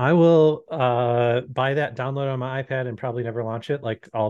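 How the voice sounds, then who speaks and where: Here is a man with a plain, everyday voice at medium pitch. His pace is fairly quick and his intonation fairly even. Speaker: podcast co-host. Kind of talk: casual chat. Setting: video call.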